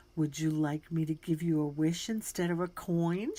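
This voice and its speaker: A woman puts on a character voice, pitched fairly low. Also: moderate pace. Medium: read story. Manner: soft, gentle.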